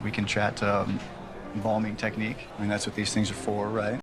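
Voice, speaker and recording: A raspy, put-on character voice from a man, fairly low in pitch, confident in tone, fairly quick, monotone and flat, with very even loudness. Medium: short film. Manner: smooth, confident.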